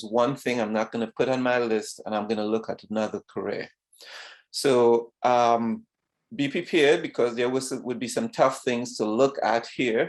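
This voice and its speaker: Against a quiet background, a man talks at a moderate pace. His voice sits at a medium pitch. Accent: Trinidadian. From Trinidad. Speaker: retired vascular surgeon. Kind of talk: talk to students. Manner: halting.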